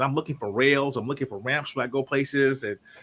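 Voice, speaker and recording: With an American accent, a man talks at a very fast pace in a medium pitch with a bright, sharp tone. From Chicago area, northwest Indiana. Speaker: leadership consultant and executive coach. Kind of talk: interview.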